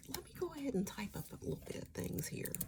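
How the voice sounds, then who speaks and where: A woman speaks softly with an American accent. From US East Coast. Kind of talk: ASMR travel agent roleplay. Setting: quiet studio, close-mic desk roleplay. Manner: soft-spoken, friendly.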